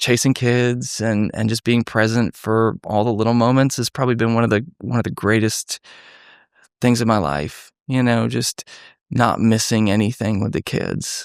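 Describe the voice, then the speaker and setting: In a plain, everyday voice, a man with an American accent and medium pitch speaks at a moderate pace with fairly even intonation, recorded very cleanly with a silent background and a dry, close sound with no echo. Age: 30s. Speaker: former detective, nonprofit founder. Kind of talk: podcast interview. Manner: conversational, warm.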